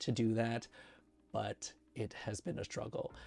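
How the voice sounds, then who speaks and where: At a very slow pace, a man speaks in a medium pitch with vocal fry. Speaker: cardiology pharmacist and YouTuber. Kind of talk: casual vlog reflection. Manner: halting, hesitant.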